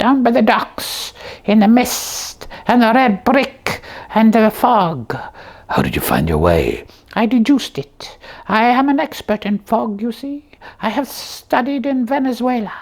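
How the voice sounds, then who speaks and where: A cartoonish character voice sits at a fairly high pitch. The pace is fairly slow. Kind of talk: comic overacting. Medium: puppet show. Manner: pompous, mock-Victorian.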